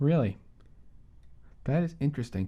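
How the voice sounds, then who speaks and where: Mumbling at a fairly quick pace, a man with a fairly high pitch and a dark, mellow, somewhat breathy tone makes very wide pitch swings. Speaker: podcast co-host. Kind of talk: casual chat. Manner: halting.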